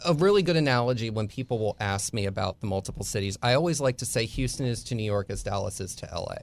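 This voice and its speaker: Barely pausing, a man rattles along at a very fast pace with medium pitch and lively intonation. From US Northeast, Bucks County, Pennsylvania. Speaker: author and society writer. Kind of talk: casual interview chat. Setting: studio.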